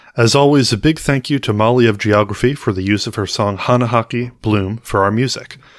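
A man speaks in a normal speaking voice with an American accent. His pitch is medium, with ordinary variation, and his pace is moderate. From United States. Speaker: podcast co-host. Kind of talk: casual chat.

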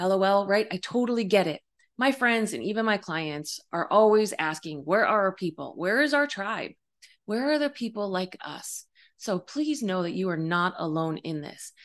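An unremarkable speaking voice comes from a woman of medium pitch. Her intonation is lively, her pace moderate, and the background quiet. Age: 50s. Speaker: life coach and psychic medium podcast host. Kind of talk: solo podcast monologue. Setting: home video recording. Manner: warm, conversational with fillers.

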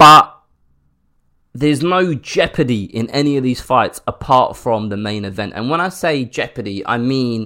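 A man with a British accent, bright and sharp in tone, animated, with lively intonation, on a very clean recording over a silent background. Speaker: podcast host. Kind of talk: angry rant. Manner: indignant, animated, openly fuming.

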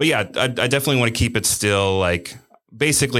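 A man with an American accent speaks at a fairly quick pace. The recording is very clean, with a silent background. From Cincinnati area, Ohio. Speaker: business owner. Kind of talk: casual interview.

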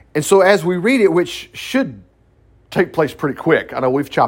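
Vocal fry runs through this voice as it moves at a fairly quick pace. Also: man. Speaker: Bible study teacher, minister. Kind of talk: Bible study teaching. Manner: fast; conversational, halting with fillers.

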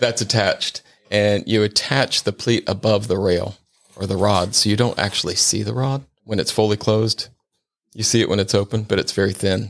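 A man with an American accent has a normal speaking voice. He talks at a moderate pace with a fairly low pitch and fairly even intonation. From Ohio, Cincinnati. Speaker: window treatment expert. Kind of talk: casual interview.

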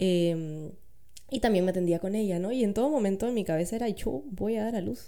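At a fairly quick pace, a woman speaks in a medium pitch with a dark, mellow tone and lively intonation. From Peru, Lima. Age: 30s. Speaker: doula and architect. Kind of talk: interview, personal testimony.

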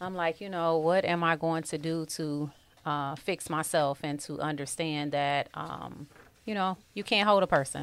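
A woman with an American accent speaks slowly-ish at a fairly slow pace, her very deep, low pitch held in fairly even intonation. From Detroit, US Midwest (East Side). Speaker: author. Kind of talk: interview.

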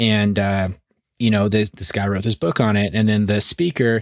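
In a very clean recording with a silent background, a man with a plain, everyday voice talks at a fairly quick pace, his pitch fairly low and his intonation fairly even. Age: 30s. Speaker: real estate investing podcast co-host. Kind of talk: solo monologue. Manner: casual, conversational with fillers.

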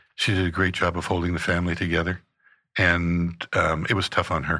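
In a very clean recording with a silent background, a man speaks at a moderate pace, his very deep, low voice bright and sharp in tone. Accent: Canadian. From Canada (Saskatchewan). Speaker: pastor. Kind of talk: testimony. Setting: studio.

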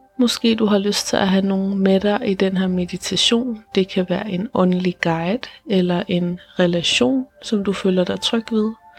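A woman speaks in a calm, soothing tone at a medium pitch, fairly slowly, with hardly any pauses, very even loudness and ordinary pitch variation. Noticeable background noise runs behind her. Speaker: meditation guide and podcast host. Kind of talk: guided meditation. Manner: slow, calm and soothing, with long pauses between sentences; soft-spoken and gentle, reassuring.

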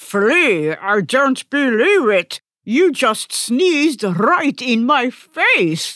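Using a put-on character voice, a woman speaks high-pitched with very wide pitch swings at a very slow pace, with hardly any pauses and very even loudness. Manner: warm, gentle.

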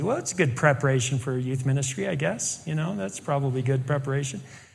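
With an American accent, a man talks in a fairly high, somewhat breathy voice, with audible room echo around him. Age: 60s. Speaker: pastor and teacher. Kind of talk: sermon.

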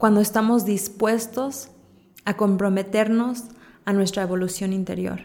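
A woman speaks in a calm, dark, mellow tone with fairly high pitch and fairly even intonation. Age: 30s. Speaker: spiritual podcaster and coach. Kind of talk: reflective spiritual monologue.

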